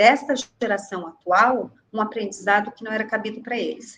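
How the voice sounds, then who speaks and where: This is a woman with a plain, everyday voice, a fairly high pitch and a moderate pace. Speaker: care home manager. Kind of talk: webinar panel discussion.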